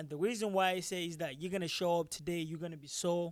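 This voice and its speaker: With a Nigerian accent, a man speaks in a high pitch at a fairly quick pace. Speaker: MMA fighter and taekwondo instructor. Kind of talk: post-fight interview. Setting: live at fight venue. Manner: halting, many fillers and repetitions.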